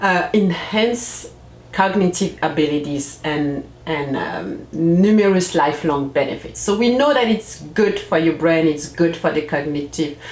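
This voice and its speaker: A woman with a French accent and lively intonation at a fairly slow pace, amid audible room echo and noticeable background noise. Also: fairly low pitch for a woman. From France, Comorian family. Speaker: parenting coach, channel host. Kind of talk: casual vlog talk to camera. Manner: halting, with fillers and restarts.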